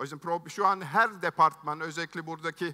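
A man's high-pitched voice, bright and sharp in tone, at a moderate pace over a quiet background. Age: 50s. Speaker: tech entrepreneur, keynote speaker; keynote speaker. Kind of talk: keynote speech. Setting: stage with audience. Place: stage. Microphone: headset.

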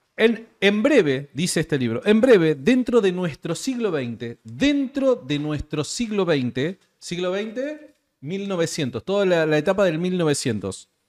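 Very wide pitch swings at a very slow pace over a quiet background. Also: man, high pitch for a man. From Argentina. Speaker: podcast host. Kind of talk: casual interview conversation. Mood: laughs while joking. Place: studio. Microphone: studio mic.

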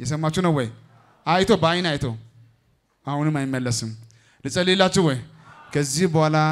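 A man with a fairly high pitch, ordinary pitch variation and an animated tone. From Ethiopia. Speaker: pastor. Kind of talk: church service testimony session. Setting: church with congregation. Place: tent. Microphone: handheld.

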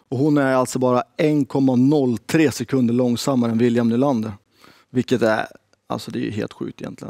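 The dry recording has no echo and a quiet background as a man speaks at a moderate pace in a dark, mellow tone. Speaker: game show host for women's hockey league. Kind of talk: game show style interview. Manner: animated. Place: studio.

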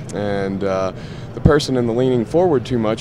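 Fairly quick pace and ordinary pitch variation, with noticeable background noise. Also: man. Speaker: product representative. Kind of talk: product demonstration. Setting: trade show booth.

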